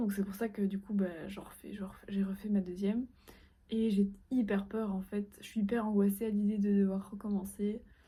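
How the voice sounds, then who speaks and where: This woman has a medium pitch and a dark, mellow tone that is somewhat breathy. She talks at a moderate pace. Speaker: fashion student vlogger. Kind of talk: casual vlog. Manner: hesitant.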